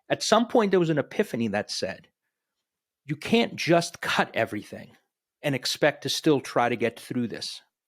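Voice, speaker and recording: Recorded very cleanly against a silent background, with a dry, close sound and no echo, a man speaks at a moderate pace in a fairly high pitch with very wide pitch swings. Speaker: technology strategy director, podcast host. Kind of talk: podcast interview answer.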